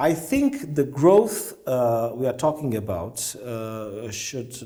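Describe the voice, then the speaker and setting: With a Romanian accent, a man speaks in a dark, mellow, somewhat breathy tone, and audible room echo surrounds him. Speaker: diplomat. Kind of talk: interview. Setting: conference event. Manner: halting, many fillers.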